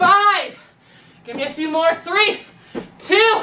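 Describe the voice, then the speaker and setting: A woman's raised, projected voice at a very slow pace, with lively intonation over light background noise. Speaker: fitness instructor. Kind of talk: workout instruction. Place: home room.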